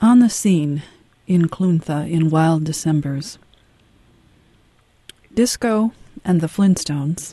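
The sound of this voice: Soft-spoken and slow, a woman talks at a low pitch with a dark, mellow tone and lively intonation, leaving long, frequent pauses in a dry, close sound with no echo.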